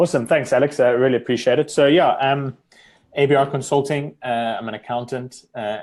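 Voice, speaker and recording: The speaker is a man with a South African accent and ordinary pitch variation. He keeps a moderate pace on a very clean recording with a silent background. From South Africa, Cape Town. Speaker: accountant. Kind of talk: interview.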